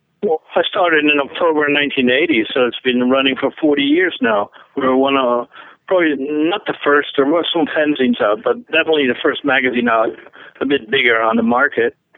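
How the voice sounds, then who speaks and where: Speaking at a fairly quick pace, a man with a Dutch accent has a fairly high pitch. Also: ordinary pitch variation, very even loudness. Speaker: metal magazine founder and festival organizer. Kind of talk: interview.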